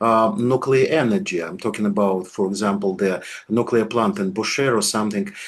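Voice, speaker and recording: A man with a Russian accent speaks at a moderate pace and medium pitch, with lively intonation. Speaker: political scientist, channel host. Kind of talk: political interview. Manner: halting, searching for words.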